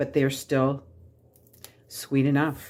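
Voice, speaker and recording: Recorded very cleanly against a silent background, a woman with a very deep, low pitch speaks at a moderate pace. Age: 60s. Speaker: home cooking channel host. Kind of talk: cooking tutorial. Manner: casual, chatty with filler words.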